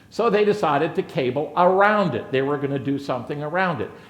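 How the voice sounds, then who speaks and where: With audible room echo, a man speaks at a fairly quick pace in an animated tone, his pitch high and his intonation lively. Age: 60s. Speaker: conference speaker, reliability executive. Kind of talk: conference presentation.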